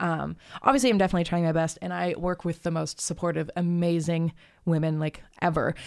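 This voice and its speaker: An ordinary speaking voice from a woman with an American accent, fairly low in pitch, fairly even in intonation and fairly quick in pace, on a very clean recording with a silent background. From Arizona, US (Tucson). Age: 20s. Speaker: musician and therapist. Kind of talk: casual chat. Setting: in-person at host's home.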